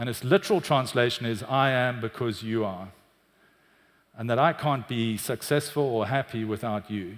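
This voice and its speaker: A man with a South African accent, medium in pitch, at a moderate pace with ordinary pitch variation, on a very clean recording with a silent background. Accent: South African, often mistaken for British. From South Africa, Cape Town. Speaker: tech executive, chief customer officer. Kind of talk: conference talk.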